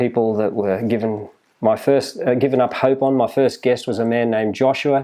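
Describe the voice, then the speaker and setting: A man with an Australian accent, medium pitch, a dark, mellow tone, fairly even intonation and a moderate pace. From Australia, New South Wales (Maitland). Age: 60s. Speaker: health retreat owner. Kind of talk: interview. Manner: halting.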